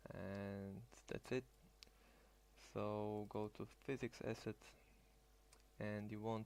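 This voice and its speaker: A man with a non-native accent, a fairly low pitch, flat monotone intonation, and a fairly slow pace. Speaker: hobbyist tutorial maker. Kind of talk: screen-recorded tutorial. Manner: halting, with fillers and restarts.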